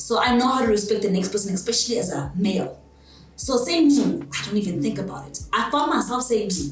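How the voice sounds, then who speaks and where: A loud woman talks at a very fast pace with a medium pitch and very wide pitch swings. Noticeable background noise and audible room echo fill the recording. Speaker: abuse survivor. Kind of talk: interview testimony.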